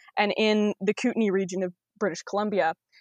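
With a Canadian accent, a woman speaks in a plain, everyday voice at a fairly high pitch and fairly quick pace, with ordinary pitch variation, in a dry, close sound with no echo and a quiet background. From Ontario, Canada. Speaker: wilderness guide. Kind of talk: interview.

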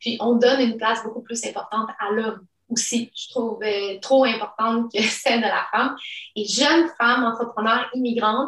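A woman at a fairly high pitch and moderate pace, in a monotone, flat intonation. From immigrated to Quebec at age 10. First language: not French (speaking French). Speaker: entrepreneur. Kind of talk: interview.

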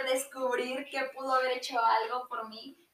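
Her pitch is high, and she has a Mexican accent. The woman speaks at a fairly slow pace. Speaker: podcast guest. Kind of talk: casual chat.

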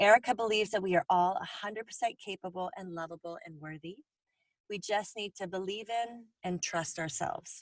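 A woman with an unremarkable speaking voice talks at a moderate pace, her pitch medium and its variation ordinary. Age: 40s. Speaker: podcast host. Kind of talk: scripted narration; casual interview.

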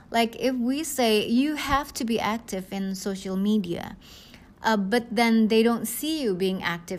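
A woman with an Indonesian accent speaks slowly, at a fairly slow pace, with a fairly high pitch. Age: 40s. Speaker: network marketing leader. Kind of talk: podcast monologue, coaching talk. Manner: hesitant, many fillers.

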